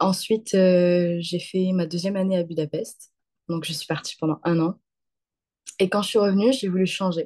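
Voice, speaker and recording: Long, frequent pauses break up this woman's speech. Her medium-pitched voice has a dark, mellow tone and fairly even intonation. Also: moderate pace. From southern France (Occitanie, near Montpellier). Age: 20s. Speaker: student. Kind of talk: interview. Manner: hesitant, many fillers.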